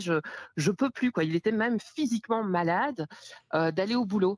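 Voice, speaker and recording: At a moderate pace and medium pitch, a woman speaks in a dry, close sound with no echo on a very clean recording with a silent background. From Belgium. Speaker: podcast listener calling in. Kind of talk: casual chat.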